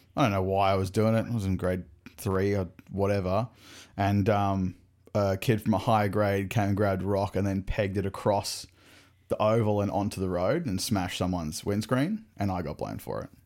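This man has an Australian accent and talks at a fairly quick pace with fairly even intonation. The recording is very clean, with a silent background. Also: fairly low pitch for a man. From Brisbane, Australia. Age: 30s. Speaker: podcast host. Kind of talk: casual chat.

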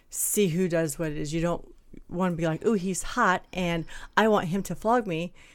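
This woman's voice sits fairly low in pitch, with ordinary pitch variation and a moderate pace. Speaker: podcast co-host. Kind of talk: casual chat. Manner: clipped, drops words.

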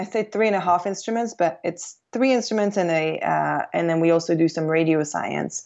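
At a moderate pace, a woman with medium pitch and lively intonation speaks in a normal speaking voice. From Quebec, Canada; teen years in England. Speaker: aerospace systems engineer. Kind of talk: interview.

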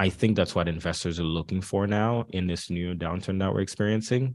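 Against a quiet background, a man with a very deep, low pitch talks at a fairly quick pace with ordinary pitch variation. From Haiti. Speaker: tech executive. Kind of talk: interview. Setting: hotel, streamed live.

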